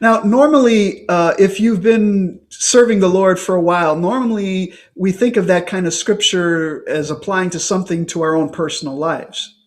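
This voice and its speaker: A man at a very slow pace, high in pitch with ordinary pitch variation and hardly any pauses. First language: English (speaking French). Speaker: priest and preacher. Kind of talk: sermon. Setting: online conference. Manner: short phrases paused for interpreter.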